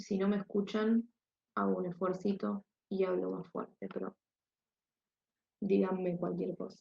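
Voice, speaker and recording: Soft-spoken, a woman talks at a fairly slow pace. Her speech has long, frequent pauses. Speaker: chemistry tutor. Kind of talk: lecture.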